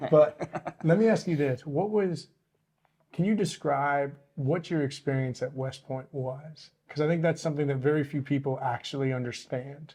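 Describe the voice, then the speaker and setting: In an American accent, the somewhat breathy voice has a dark, mellow tone, a moderate pace and ordinary pitch variation. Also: man, fairly high pitch for a man. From Michigan. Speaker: podcast host. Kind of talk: podcast interview.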